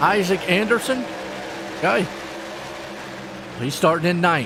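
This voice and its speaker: Lively, fairly slow speech in an American accent, with noticeable background noise and audible room echo. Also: man. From US South, North Carolina. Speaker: esports race commentator. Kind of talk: live commentary. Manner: animated; trips over some words.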